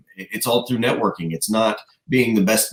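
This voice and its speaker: A man with an American accent at a very fast pace. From Tennessee. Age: 20s. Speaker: country singer. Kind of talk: interview. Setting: video call.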